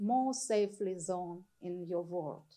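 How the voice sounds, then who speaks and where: In a Ukrainian accent, a woman speaks at a medium pitch. Her pitch varies in an ordinary way. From Ukraine, Kyiv region. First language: Ukrainian or Russian. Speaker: artist. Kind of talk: artist talk to audience. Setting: stage with audience. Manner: halting, searching for words.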